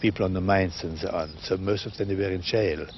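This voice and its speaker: This man's fairly low voice comes out somewhat breathy. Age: 60s. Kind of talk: interview testimony.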